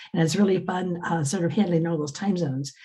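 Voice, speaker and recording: Very fast and somewhat breathy, a woman speaks in a fairly low pitch with a dark, mellow tone. Her intonation remains fairly even. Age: 70s. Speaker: business coach and academic. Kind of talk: casual chat. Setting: video call.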